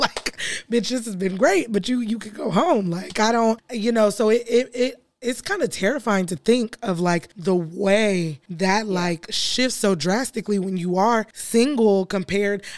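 Over noticeable background noise, a woman with a medium-pitched voice talks at a fairly slow pace in an animated tone, with ordinary pitch variation and hardly any pauses. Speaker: podcast co-host. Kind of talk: casual chat.

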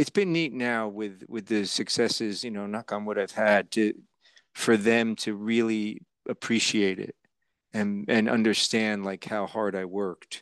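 At a fairly slow pace and fairly low pitch, a man with an American accent speaks with fairly even intonation in a plain, everyday voice, the sound dry and close with no echo against a quiet background. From New Jersey. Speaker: actor. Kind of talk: interview.

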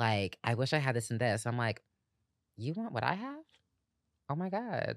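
With an American accent, a woman speaks at a moderate pace with long, frequent pauses in a very clean recording with a silent background and a dry, close sound with no echo. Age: 20s. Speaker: actress. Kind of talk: casual chat.

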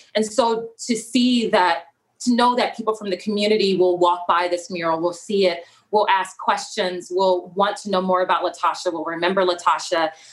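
A woman's plain, everyday voice, with an American accent, a medium pitch, fairly even intonation and a moderate pace. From South Central Los Angeles. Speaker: documentary filmmaker and photographer. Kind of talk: interview conversation.

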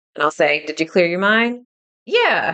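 Here a woman is speaking. Her pitch varies in an ordinary way. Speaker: podcast host and spiritual medium. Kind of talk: solo podcast teaching talk. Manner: slow.

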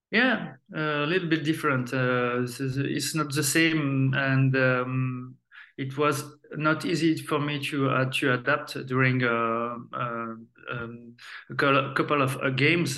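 Very slowly and in a French accent, a man speaks at a fairly high pitch with fairly even intonation. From France. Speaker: retired footballer. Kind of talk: interview. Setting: remote call. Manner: halting.

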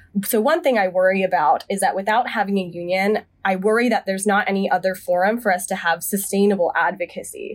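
A woman at a medium pitch talks at a very fast pace with hardly any pauses, her intonation fairly even and her loudness very even. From US South, Charlotte, North Carolina. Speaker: medical resident. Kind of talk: debate discussion.

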